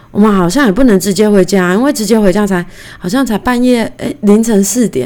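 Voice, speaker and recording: Using a normal speaking voice, a woman talks at a fairly quick pace and a medium pitch. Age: 30s. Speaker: podcast host. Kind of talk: casual solo monologue. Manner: chatty, conversational.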